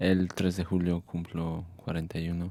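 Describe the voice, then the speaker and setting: This man's voice is very deep and low. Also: very clean recording, silent background. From Mexico. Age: 40s. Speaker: community activist. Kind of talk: casual chat. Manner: halting, many fillers.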